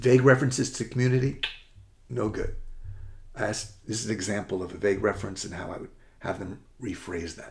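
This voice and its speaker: Speaking at a fairly quick pace, a man uses a fairly low, somewhat breathy voice with an American accent. His pitch varies in an ordinary way. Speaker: college admissions essay coach. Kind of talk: presentation to parents. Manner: rushed, fast.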